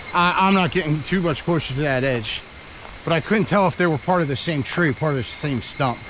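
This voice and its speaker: Noticeable background noise surrounds a man speaking at a moderate pace. His pitch is fairly high, and his intonation lively. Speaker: travel vlogger. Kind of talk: casual vlog monologue while hiking. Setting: outdoors on a forest trail. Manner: loud; animated.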